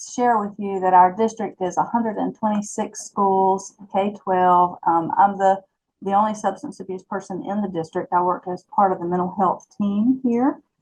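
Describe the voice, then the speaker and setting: A woman speaks with a Southern US accent. Her pitch is medium. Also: ordinary pitch variation, moderate pace. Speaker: school substance abuse teacher. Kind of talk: webinar presentation. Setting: online webinar.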